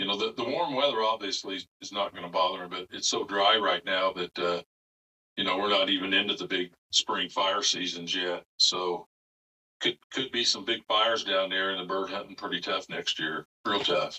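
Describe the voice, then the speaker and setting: A plain, everyday voice, male and fairly low, with ordinary pitch variation at a moderate pace. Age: 60s. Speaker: retired upland bird hunter. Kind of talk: podcast interview answer. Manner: casual, conversational.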